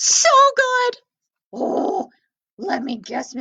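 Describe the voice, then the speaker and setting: A woman puts on a squeaky character voice at an extremely high pitch. Her pitch swings very widely. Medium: read story. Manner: eager, chatty.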